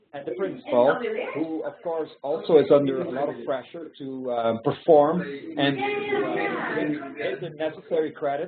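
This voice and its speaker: This man has a Belgian accent. His voice sits fairly high in pitch. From Belgium. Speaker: founder of a youth mentoring nonprofit. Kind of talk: webinar presentation with Q&A. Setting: online webinar. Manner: halting, many fillers.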